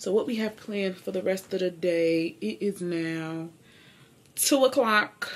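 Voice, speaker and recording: The woman's intonation is lively. She speaks at a fairly slow pace. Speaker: vlogger. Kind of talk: casual vlog chat. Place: home room. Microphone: camera far.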